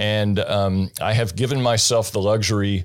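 Speaking with an American accent, this is a normal speaking voice. It has ordinary pitch variation and a moderate pace. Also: man. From US rural farming state. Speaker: investor. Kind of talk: interview. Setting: studio.

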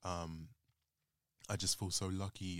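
A man with a London accent, very deep and low in pitch, at a moderate pace. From North London, Islington. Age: 20s. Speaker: podcast guest. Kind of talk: casual chat.

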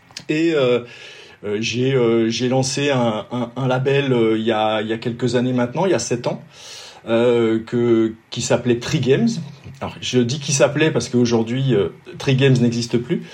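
Pausing long and often, a man speaks at a fairly slow pace. His voice sits at a medium pitch with fairly even intonation. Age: 50s. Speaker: triathlon race organizer, former pro cyclist. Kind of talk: casual interview. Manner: halting, frequent repetitions.

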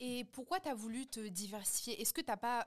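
A woman speaks in a high-pitched voice. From France. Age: 20s. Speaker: podcast host and content creator. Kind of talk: casual chat.

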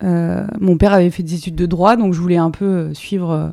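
A woman with a dark, mellow tone and fairly low pitch talks at a moderate pace with ordinary pitch variation. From France, Drôme. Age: 30s. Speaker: sports TV journalist. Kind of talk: interview. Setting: at her home. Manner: hesitant, many fillers.

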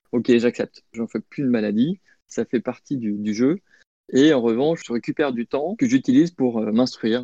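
This man's dark, mellow tone comes through a dry, close sound with no echo as he talks at a moderate pace. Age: 40s. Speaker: bank project manager. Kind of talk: interview.

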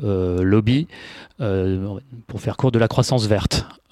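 Fairly slow speech comes from a man with ordinary pitch variation. The recording is very clean with a silent background, and the sound is dry and close with no echo. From Paris, France. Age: 30s. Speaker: sustainability consultant. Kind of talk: interview. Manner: halting, many fillers.

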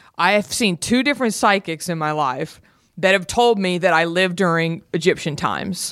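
A woman's medium-pitched voice at a moderate pace, with a slight Southern US accent. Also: ordinary pitch variation. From Texas, Garland (Dallas suburb). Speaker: podcaster. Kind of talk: casual chat.

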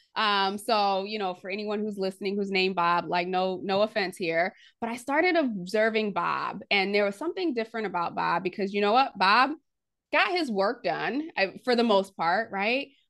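An ordinary speaking voice from a woman at medium pitch, with ordinary pitch variation, a moderate pace and a quiet background. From US, immigrant from Haiti at age three. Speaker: leadership strategist and author. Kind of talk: podcast interview.

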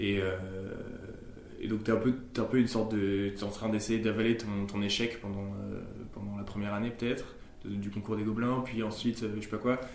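A man's fairly low, monotone voice with flat intonation at a fairly quick pace, amid audible room echo and noticeable background noise. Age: 20s. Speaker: animation director. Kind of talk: casual chat. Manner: hesitant, many fillers.

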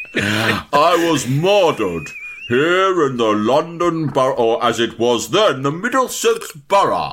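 A man's put-on character voice, fairly high-pitched and fairly slow. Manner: spooky, haunting.

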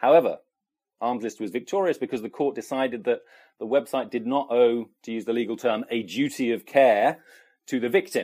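On a very clean recording with a silent background, a man speaks at a fairly quick pace and medium pitch with ordinary pitch variation. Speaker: policy correspondent. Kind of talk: interview.

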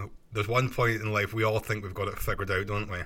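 A man's bright, sharp tone at a fairly quick pace. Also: very clean recording, silent background. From Scotland. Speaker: podcast host. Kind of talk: solo podcast monologue, casual and self-help. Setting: home recording, bedroom under a duvet. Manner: conversational, earnest, motivational.

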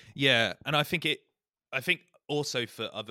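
A man speaks in a British accent with a bright, sharp tone. The sound is dry and close with no echo. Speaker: podcast host. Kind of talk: casual chat.

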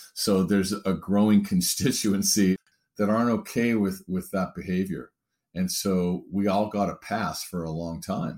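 At a moderate pace, a man speaks in a fairly low voice with fairly even intonation, an unremarkable speaking voice. The recording is very clean with a silent background. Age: 50s. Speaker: diversity consultant and author. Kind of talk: interview.

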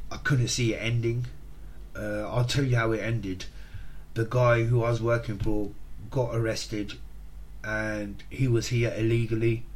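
Audible room echo surrounds a man speaking at a moderate pace. His loudness stays very even, and he leaves long, frequent pauses. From England, Hertfordshire (St Albans). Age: 40s. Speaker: podcast host recounting addiction recovery. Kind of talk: personal testimony monologue. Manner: hesitant, with frequent fillers and repetitions.

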